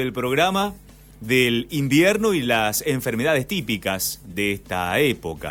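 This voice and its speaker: Music plays in the background as a man speaks very slowly at a medium pitch, his voice moving through very wide pitch swings. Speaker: radio host. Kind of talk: radio interview questions.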